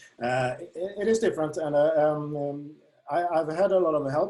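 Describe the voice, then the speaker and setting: Moderately paced, a man in a Swedish accent speaks at a fairly high pitch with fairly even intonation. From Sweden. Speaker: darts app creator. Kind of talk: interview. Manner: halting, many fillers.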